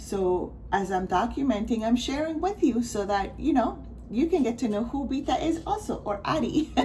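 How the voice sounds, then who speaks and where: Amid audible room echo, a woman speaks at a moderate pace in a high pitch with very wide pitch swings. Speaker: crafting vlogger. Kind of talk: casual chat. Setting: at home, not usual spot. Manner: mumbling; rambling, halting.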